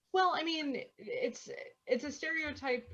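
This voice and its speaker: Speaking at a fairly slow pace with lively intonation, a woman talks with a Midwestern US accent. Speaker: podcast co-host. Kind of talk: casual chat.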